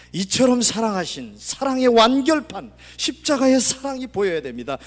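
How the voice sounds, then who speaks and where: A man speaks in a high voice. His pace is moderate. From Gangwon Province, Korea. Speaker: pastor. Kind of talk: sermon.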